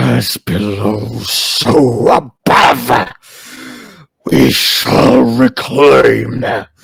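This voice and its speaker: Using a put-on character voice, a man sounds raspy and fairly low. He speaks at a very slow pace. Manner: eerie, ominous.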